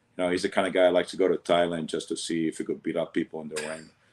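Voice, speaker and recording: A man with a Sicilian accent speaks at a very fast pace in a very deep, low voice. His intonation is monotone and flat, over a quiet background. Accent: Sicilian Italian. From Sicily, Italy, then Venezuela. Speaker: martial arts master. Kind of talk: casual interview. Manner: speaks fast, words run over.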